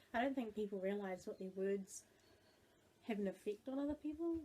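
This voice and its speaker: Speaking at medium pitch and a moderate pace, a woman uses lively intonation with long, frequent pauses. Her tone is dark and mellow, and somewhat breathy. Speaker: video blogger. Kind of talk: casual chat.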